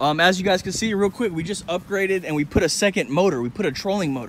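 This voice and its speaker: Over light background noise, a man talks at a fairly quick pace and high pitch with ordinary pitch variation, the sound dry with no echo. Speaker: vlogger. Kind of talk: casual vlog chat. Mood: excited, upbeat. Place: street. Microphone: phone near.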